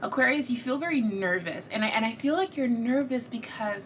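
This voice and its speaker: Room echo and noticeable background noise are both audible. A woman speaks at a moderate pace with ordinary pitch variation. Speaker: tarot reader. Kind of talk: tarot reading monologue. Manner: casual, conversational.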